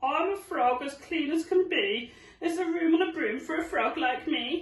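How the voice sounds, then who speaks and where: A put-on character voice, croaky and extremely high, moves at a moderate pace with a slight echo. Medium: read story.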